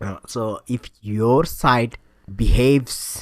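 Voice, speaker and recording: A man speaks with a Bengali accent. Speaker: tutorial instructor. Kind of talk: tutorial. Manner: hesitant, many filler sounds.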